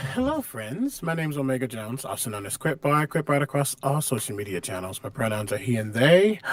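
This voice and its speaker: Noticeable background noise sits under a fairly quick delivery with lively intonation. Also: man, medium pitch for a man, hardly any pauses. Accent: American. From US Midwest. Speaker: actor and tabletop game player. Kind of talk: casual chat.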